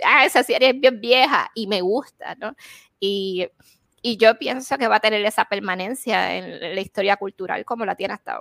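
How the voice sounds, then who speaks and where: With vocal fry and a fairly high pitch, a woman's voice swings widely in loudness, heard dry and close with no echo. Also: ordinary pitch variation, moderate pace. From Puerto Rico. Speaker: podcast co-host. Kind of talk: casual chat.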